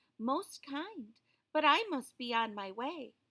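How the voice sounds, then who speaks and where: A put-on character voice delivers lines at a fairly slow pace. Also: female-sounding voice, high pitch for a woman. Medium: read story. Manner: polite, genteel.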